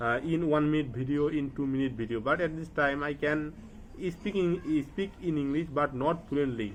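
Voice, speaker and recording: This speaker has a Bengali accent and ordinary pitch variation. The pace is moderate. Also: man, fairly high pitch for a man. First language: Bangla. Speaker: English learner vlogger. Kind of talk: casual vlog monologue. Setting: at home study table, to camera. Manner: halting, with many fillers; not fluent.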